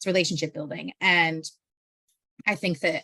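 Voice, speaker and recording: Vocal fry runs through this bright, sharp tone. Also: woman. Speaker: research communications presenter. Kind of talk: presentation. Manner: fast.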